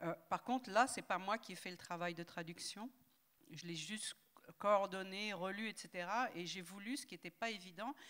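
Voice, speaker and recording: A woman's normal speaking voice at medium pitch. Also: ordinary pitch variation, moderate pace. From southern France, Toulouse. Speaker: linguist and translator. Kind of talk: panel discussion.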